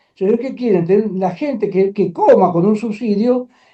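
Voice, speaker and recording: A man with a high-pitched voice. His intonation is lively. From Argentina. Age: 80s+. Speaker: trade union leader. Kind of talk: interview. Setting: studio. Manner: animated.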